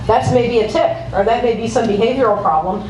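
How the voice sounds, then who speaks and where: A woman's fairly high voice carries lively intonation over audible room echo and noticeable background noise. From US Midwest, Ohio. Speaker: pediatric epileptologist. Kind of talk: conference talk. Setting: conference room, handheld microphone. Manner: fast.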